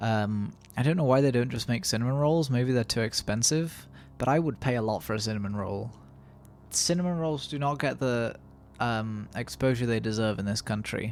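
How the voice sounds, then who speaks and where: A man in a British accent, moderate pace, and ordinary pitch variation. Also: medium pitch for a man, very clean recording, silent background. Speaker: gaming YouTuber. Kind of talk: let's play commentary. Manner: casual, rambling; quieter.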